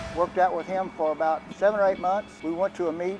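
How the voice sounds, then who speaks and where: Fairly even intonation in a Texan accent at a moderate pace, with music in the background. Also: man. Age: 80s+. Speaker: powerlifter. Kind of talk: interview.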